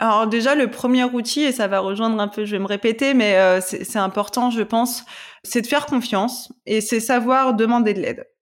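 On a very clean recording with a silent background, a woman with a fairly high pitch talks at a moderate pace with fairly even intonation. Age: 20s. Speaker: corporate lawyer and yoga teacher. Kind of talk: personal testimony in casual interview. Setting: podcast interview. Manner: halting, many repetitions.

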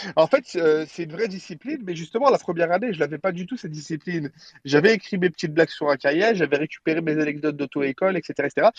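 The speech comes very fast, with ordinary pitch variation and a dry, close sound with no echo. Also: man, high pitch for a man. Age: 30s. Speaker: comedian. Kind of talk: casual chat. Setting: phone call from a car. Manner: animated.

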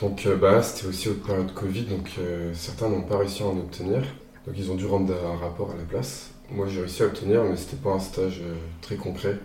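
In a room with audible echo, a man with a very deep, low pitch speaks at a fairly quick pace. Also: fairly even intonation. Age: 20s. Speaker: logistics student. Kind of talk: interview.

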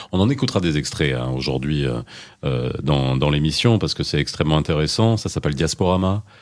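This man's voice is very deep and low, with lively intonation. He talks at a fairly quick pace. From Moroccan diaspora in Belgium. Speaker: radio host. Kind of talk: radio talk show. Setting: studio. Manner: animated.

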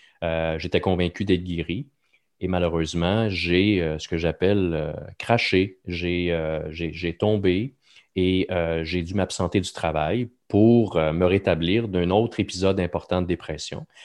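Against a quiet background, a man with a very deep, low pitch speaks at a very slow pace with fairly even intonation. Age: 40s. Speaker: podcast host, mental health speaker. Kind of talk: casual chat.

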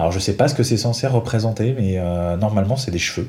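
A man's fairly low, somewhat breathy voice with a dark, mellow tone, fairly quick pace and ordinary pitch variation. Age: 30s. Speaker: Lego fan reviewing sets. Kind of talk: casual chat.

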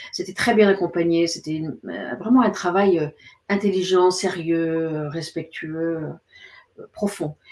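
A woman speaks very slowly at a fairly low pitch. Her intonation is fairly even, with long, frequent pauses. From Paris suburbs, France. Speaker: psychotherapist and author. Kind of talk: interview. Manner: halting.

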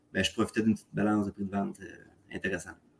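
A man with a Quebec accent talks in a fairly low pitch. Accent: Québécois French. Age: 30s. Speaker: real estate investor, contractor. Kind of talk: casual interview. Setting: remote call from condo. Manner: halting, many fillers.

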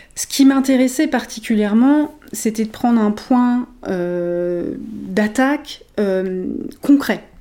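A woman with a fairly high pitch speaks at a very slow pace, her pitch variation ordinary. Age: 40s. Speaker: emotional intelligence coach. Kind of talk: interview.

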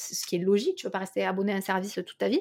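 A woman with lively intonation. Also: very clean recording, silent background. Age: 20s. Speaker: company director. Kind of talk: interview.

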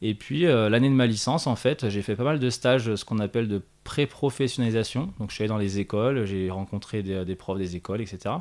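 In a very clean recording over a silent background, a man with a plain, everyday voice speaks at a fairly quick pace. His pitch varies in an ordinary way, and he hardly pauses. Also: medium pitch for a man. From France, Haute-Savoie (Annecy area). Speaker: sports educator and training organisation co-founder. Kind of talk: interview. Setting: on location at the organisation's premises.

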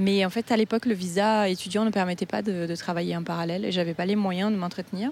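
This woman, with a Portuguese accent, talks at a fairly quick pace. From Brazil. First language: Portuguese (speaking French). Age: 30s. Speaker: Brazilian expat in Paris. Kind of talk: interview testimony. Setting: outdoors in a park. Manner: lively.

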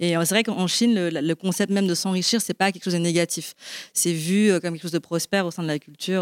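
Fairly quick and fairly low-pitched, a woman speaks in an unremarkable speaking voice with fairly even intonation. The recording is very clean with a silent background and a dry, close sound with no echo. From Belgium. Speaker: marketing director at a sustainable investment platform. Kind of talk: panel discussion. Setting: live event with audience.

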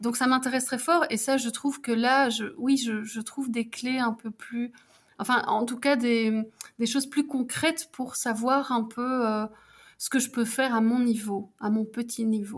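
A woman's high-pitched voice with fairly even intonation at a fairly slow pace. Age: 40s. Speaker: civil servant and mature student. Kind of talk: casual interview. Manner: halting, many fillers.

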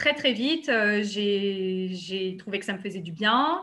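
Using a normal speaking voice, a woman talks at medium pitch with ordinary pitch variation. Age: 30s. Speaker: yoga therapist. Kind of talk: interview.

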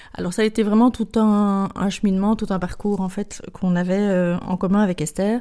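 At a fairly quick pace, a woman speaks in a dark, mellow tone at medium pitch with fairly even intonation. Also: hardly any pauses. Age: 50s. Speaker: shop co-founder. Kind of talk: interview. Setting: recorded in a shop. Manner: hesitant, with fillers.

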